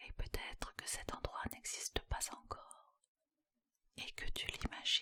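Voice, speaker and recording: Whispered speech comes at a very slow pace. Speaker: hypnotherapist. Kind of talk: guided hypnosis session.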